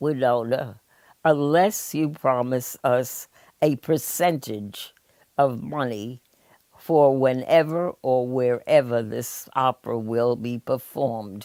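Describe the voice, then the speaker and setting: A very slow delivery with a dark, mellow tone, in an American accent. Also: woman, very deep, low pitch for a woman, ordinary pitch variation. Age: 80s+. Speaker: retired acting teacher and arts administrator. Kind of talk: interview answer.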